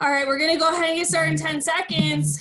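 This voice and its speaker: A woman projects her voice in a high, bright and sharp tone. Her tone is upbeat, and the background is quiet. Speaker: fitness instructor. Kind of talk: live workout class instruction. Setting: video workout class. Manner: brisk, upbeat, cueing in short commands; animated, encouraging. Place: home room.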